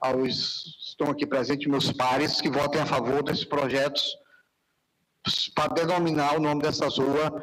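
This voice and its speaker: The speech moves at a moderate pace with monotone, flat intonation. Its loudness stays very even. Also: man, fairly high pitch for a man. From Piauí, northeastern Brazil. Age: 60s. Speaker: city councillor. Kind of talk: council session speech. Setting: council chamber, live broadcast.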